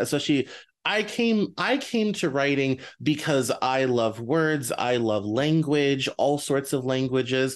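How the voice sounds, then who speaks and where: An unremarkable speaking voice with an American accent, ordinary pitch variation and a quiet background. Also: man. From US, Denver. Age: 30s. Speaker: podcast host. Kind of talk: interview.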